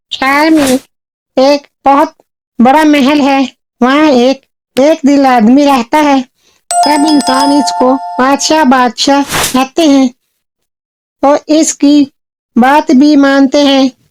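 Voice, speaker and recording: This is a cartoonish character voice that sounds female. Its pitch is high for a woman. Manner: earnest, storytelling.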